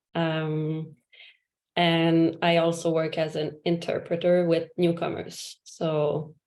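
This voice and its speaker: A woman speaks with a French Canadian accent. Her pitch is fairly low and her intonation monotone and flat. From Quebec. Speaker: yoga teacher. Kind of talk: casual introduction in a video call. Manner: halting, many fillers.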